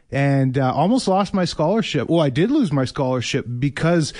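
Speaking at a moderate speed, a man uses a plain, everyday voice pitched fairly high, its pitch varying in an ordinary way. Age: 30s. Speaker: former pro football player. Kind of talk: sports radio interview.

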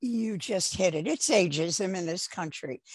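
The speaker is a woman. The background is quiet. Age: 70s. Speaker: sex educator and author. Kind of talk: interview.

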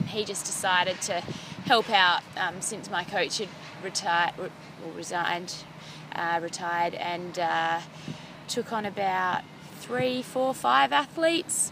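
In an Australian accent, a woman with a bright, sharp tone speaks at medium pitch and a fairly slow pace, with ordinary pitch variation and long, frequent pauses. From South Australia. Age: young. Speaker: elite distance runner. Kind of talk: interview.

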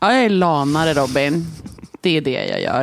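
A woman's very deep, low pitch with ordinary pitch variation. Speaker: podcast guest. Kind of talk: casual chat.

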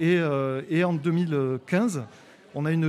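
This man has a fairly high voice and a Toulouse accent, with ordinary pitch variation. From near Toulouse, southwest France. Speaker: social entrepreneur. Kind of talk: interview. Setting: studio.

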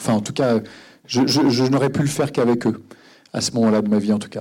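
At a fairly quick pace, a man talks in a dark, mellow tone, his pitch medium and his intonation fairly even. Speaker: film director. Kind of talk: post-screening Q&A. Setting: stage with audience.

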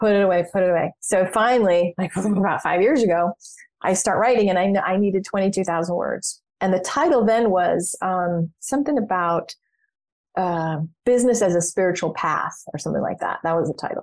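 The speaker is a woman with a medium pitch. She talks at a moderate pace with ordinary pitch variation. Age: 60s. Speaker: psychotherapist and business coach. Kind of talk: casual chat. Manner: animated.

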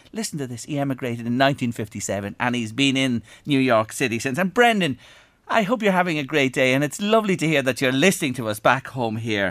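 A man with an Irish accent speaks at a fairly quick pace, his medium-pitched voice carrying lively intonation. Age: 60s. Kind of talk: radio show chat.

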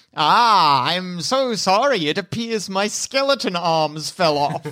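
Using a put-on character voice, a man speaks at a high pitch. His pace is fairly slow. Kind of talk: formal, courteous. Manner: polite, apologetic.

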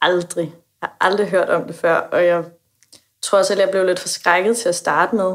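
A woman's medium-pitched voice at a fairly slow pace, monotone and flat in intonation. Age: 20s. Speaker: university student sharing personal mental health experience. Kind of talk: personal interview conversation. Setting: home kitchen. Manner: hesitant, many filler sounds.

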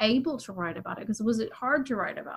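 A woman talks in a plain, everyday voice. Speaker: podcast host. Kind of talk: scripted intro then casual interview.

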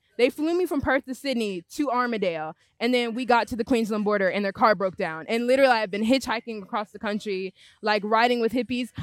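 The speaker talks at a very fast pace in an animated tone with an American accent. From US South, North Carolina. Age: 20s. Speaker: festival attendee, traveler. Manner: animated, laughs often.

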